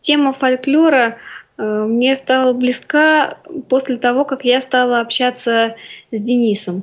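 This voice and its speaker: A woman speaks very slowly in a high voice with fairly even intonation. The recording is very clean, with a silent background. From Orenburg region, Russia. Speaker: composer, student. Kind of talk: radio interview.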